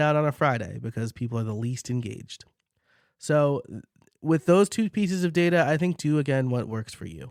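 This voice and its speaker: Lively intonation with a slight New York accent, in a very clean recording with a silent background and a dry, close sound with no echo. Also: man. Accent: slight New York accent, shows on some words. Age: 30s. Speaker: podcast coach and host. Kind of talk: casual solo podcast Q&A. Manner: conversational with fillers.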